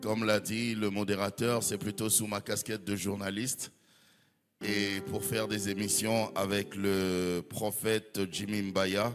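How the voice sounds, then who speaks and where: Very slowly and with fairly even intonation, a man with a fairly low pitch speaks over music in the background. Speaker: pastor and journalist. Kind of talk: sermon.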